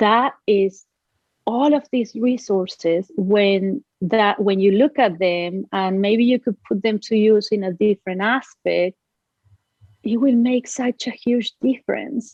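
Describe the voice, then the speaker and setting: With a Spanish accent, a woman speaks very slowly in a fairly high voice with ordinary pitch variation. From Uruguay. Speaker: business owner, nonprofit founder. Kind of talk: podcast interview answer.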